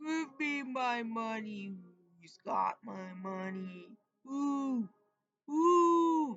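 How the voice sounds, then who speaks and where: A put-on character voice, fairly high in pitch, drawls out the words at a very slow pace. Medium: read story. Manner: crying, repetitive wailing.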